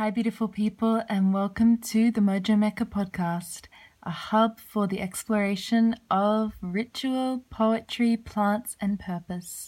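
A woman with a warm tone and a fairly high, somewhat breathy voice speaks fairly slowly with fairly even intonation. The recording is very clean, with a silent background. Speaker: podcast host. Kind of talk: casual chat. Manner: warm, effusive.

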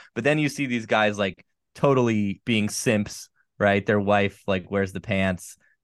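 A man talks at a fairly slow pace in a fairly low pitch with ordinary pitch variation, using an unremarkable speaking voice. Behind him the background is quiet. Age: 40s. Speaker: dating coach. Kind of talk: casual chat.

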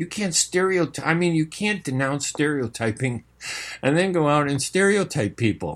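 Speaking with a Chicago accent, a man talks at a moderate pace in a fairly high pitch with lively intonation. His loudness stays very even, and the recording is very clean with a silent background. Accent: Chicago American English. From US Midwest, Chicago. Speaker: radio host and journalist. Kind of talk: live radio talk show monologue. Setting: radio studio. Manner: casual, filler-heavy speech.

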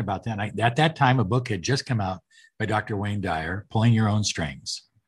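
A man speaks with a medium pitch and a somewhat breathy voice. The background is quiet. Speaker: podcast host and life coach. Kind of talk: interview, casual chat.

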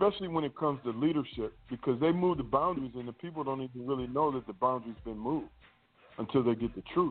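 A man with a medium pitch moves at a very fast pace, his pitch varying in an ordinary way. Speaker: minister. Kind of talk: panel discussion on scripture. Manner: excitable.

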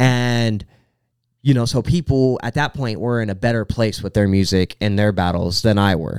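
Here a man talks in an unremarkable speaking voice with a fairly low pitch. His pace is moderate and his pitch variation ordinary. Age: 20s. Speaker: rapper. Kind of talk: casual chat.

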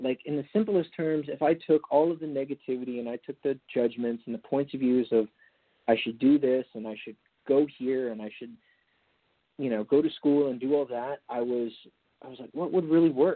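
A man with a plain, everyday voice talks at a fairly quick pace, keeping a medium pitch and ordinary pitch variation. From California, Napa Valley. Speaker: entrepreneur, former athlete and model. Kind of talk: interview.

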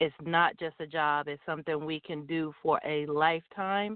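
A woman's normal speaking voice at a moderate pace with ordinary pitch variation. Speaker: truck driver and business founder. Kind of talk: live interview.

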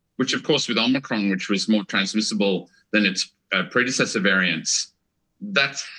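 Bright and sharp in tone, a man speaks with an Australian accent. His intonation is lively and his pace moderate. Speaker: former China scholar. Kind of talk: casual interview.

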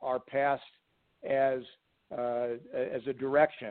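A man's fairly high-pitched voice, very slow and monotone, with flat intonation. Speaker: business coach. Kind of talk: casual interview.

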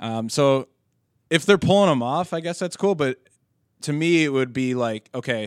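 On a very clean recording with a silent background and a dry, close sound with no echo, a man with an unremarkable speaking voice talks at a moderate pace, medium in pitch with ordinary pitch variation. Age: 20s. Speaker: wrestling podcast host. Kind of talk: casual chat. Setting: in-person recording at co-host's workplace.

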